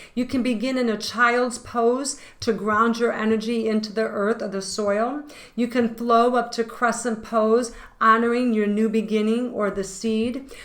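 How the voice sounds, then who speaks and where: A voice in a monotone with flat intonation, recorded with audible room echo. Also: woman, fairly high pitch for a woman, fairly slow pace. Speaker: tarot reader and yoga teacher. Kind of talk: tarot reading and guided intention exercise.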